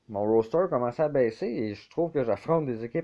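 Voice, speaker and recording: A man with a Quebec accent talks at a fairly slow pace with lively intonation. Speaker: video game YouTuber. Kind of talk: gameplay commentary. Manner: casual, hesitant with fillers.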